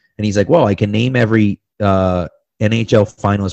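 Fairly low in pitch with ordinary pitch variation, this man has a plain, everyday voice. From Massachusetts. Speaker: sports blogger and podcaster. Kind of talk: casual interview.

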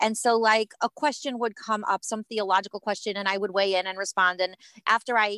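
A woman at a very fast pace, fairly high in pitch, with a bright, sharp tone, a Midwestern American accent and a dry, close sound with no echo. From US Midwest (Cleveland, Ohio). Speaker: educator and writer, rabbi's wife. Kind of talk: casual interview chat.

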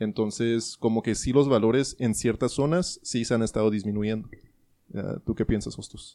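A dark, mellow tone carries this voice. Its pitch varies in an ordinary way, and the speed is moderate. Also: man, medium pitch for a man. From US (Colorado and New Mexico). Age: 20s. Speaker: podcast host. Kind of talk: casual chat.

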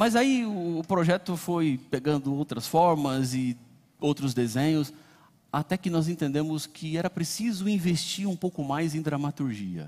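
In a normal speaking voice, a man talks at a fairly slow pace, his pitch fairly high and his intonation lively, on a very clean recording with a silent background. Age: 40s. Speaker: pastor. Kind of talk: sermon. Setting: church.

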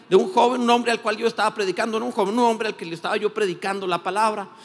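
A man talks at a very fast pace with a high pitch for a man and ordinary pitch variation. Noticeable background noise runs under his voice. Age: 50s. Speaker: pastor. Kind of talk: sermon.

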